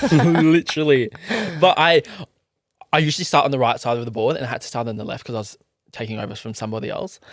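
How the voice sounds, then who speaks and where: With an Australian accent, a man talks very fast with lively intonation and big swings in loudness, pausing long and often. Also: medium pitch for a man. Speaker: podcast host. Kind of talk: casual chat.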